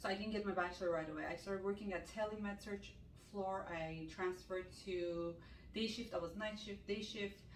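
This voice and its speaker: A non-native accent with audible room echo. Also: woman. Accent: non-native English, still learning. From Armenian from Iran. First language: Armenian. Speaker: ICU nurse and med spa owner. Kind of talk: casual Q&A chat.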